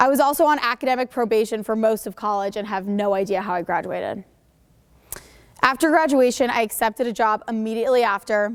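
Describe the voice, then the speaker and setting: With an American accent, a woman with a fairly high pitch talks at a fairly quick pace and ordinary pitch variation. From Connecticut, US. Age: 20s. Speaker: entrepreneur, mental health speaker. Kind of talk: school presentation speech. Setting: school stage with audience, microphone.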